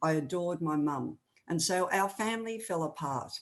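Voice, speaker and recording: A woman speaks with an Australian accent against a quiet background. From Australia, rural New South Wales. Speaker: author and speaker. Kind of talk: testimony.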